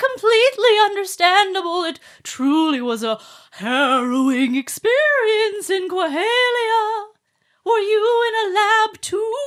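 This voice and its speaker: Putting on a character voice, a woman speaks at an extremely high pitch, with very wide pitch swings and big swings in loudness. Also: fairly slow pace. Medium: actual play. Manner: formal, stilted.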